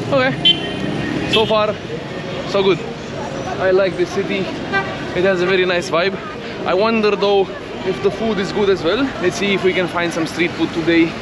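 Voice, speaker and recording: The voice moves at a moderate pace with long, frequent pauses. The sound is dry with no echo, and a crowd murmurs in the background. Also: man. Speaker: travel vlogger. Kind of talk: casual vlog chat. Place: street. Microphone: phone near.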